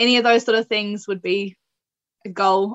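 Dry and close with no echo, a woman with a New Zealand accent speaks in a monotone, flat intonation. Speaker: para athlete. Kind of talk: interview. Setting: remote call.

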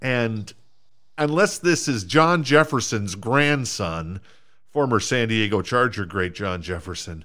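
A man with an American accent, lively intonation and a fairly slow pace. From US Minnesota. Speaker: podcast host. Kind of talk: casual chat, sports banter.

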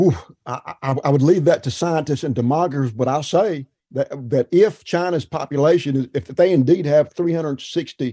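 Dry and close with no echo, a man's fairly high-pitched voice has a dark, mellow tone, ordinary pitch variation and a fairly slow pace. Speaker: agricultural journalist. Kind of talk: casual chat. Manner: animated.

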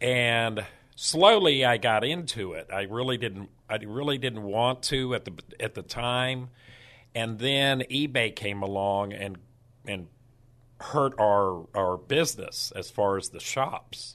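The voice has a bright, sharp tone and an American accent, moving at a very slow pace with ordinary pitch variation. The background is quiet. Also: man, medium pitch for a man. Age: 60s. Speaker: estate sale business owner. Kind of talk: radio interview. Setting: radio studio. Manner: halting, many repetitions.

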